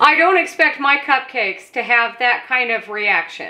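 The voice is raised and projected, moving at a moderate pace with ordinary pitch variation. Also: woman. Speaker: home cooking host. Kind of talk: tutorial. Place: kitchen.

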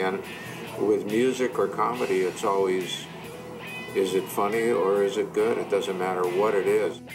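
Clear music plays in the background as the speech moves at a moderate pace with very even loudness. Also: man. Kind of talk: interview answer. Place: office.

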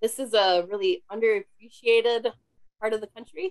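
Fairly even intonation comes through over a quiet background. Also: woman, dry sound with no echo. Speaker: conservation biologist; presenter. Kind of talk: webinar presentation; Q&A answer. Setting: home office video call. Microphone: cutting out, too far from microphone; webcam.

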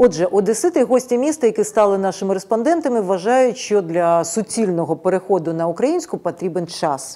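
Her tone dark and mellow, a woman speaks at a moderate pace and medium pitch with lively intonation. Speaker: TV news host. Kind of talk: news program presenting. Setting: studio. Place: studio. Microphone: lapel.

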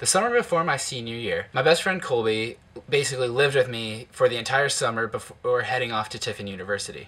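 Talking at a very fast pace, a man with an American accent has a bright, sharp tone. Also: ordinary pitch variation. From Ohio, Toledo; Ohio. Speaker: YouTuber. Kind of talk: personal narration. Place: home room. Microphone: webcam.

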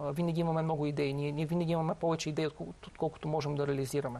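Very fast and in a flat monotone, a man talks at a fairly high pitch. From Bulgaria. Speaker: company founder; guest. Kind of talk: interview. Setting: studio. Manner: halting, many fillers and repetitions. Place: studio.

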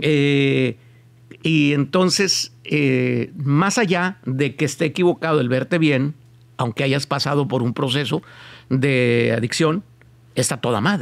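A man speaks very slowly in a fairly high voice with ordinary pitch variation. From Mexico. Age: 50s. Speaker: podcast host. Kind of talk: casual interview. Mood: relaxed, joking at times. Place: studio. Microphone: studio mic.

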